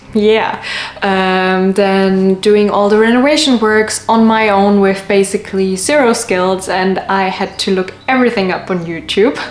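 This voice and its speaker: Speaking at a fairly slow pace with hardly any pauses, a woman uses a medium pitch and fairly even intonation. Background noise is noticeable. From city in a foreign country, not Sweden. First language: not Swedish, not necessarily English. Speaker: vlogger. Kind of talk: casual vlog talk to camera.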